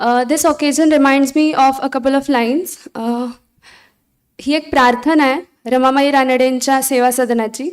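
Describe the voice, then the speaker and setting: Someone speaks with a Marathi accent at a fairly slow pace. The intonation is fairly even. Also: woman, high pitch for a woman. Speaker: college staff member. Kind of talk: speech.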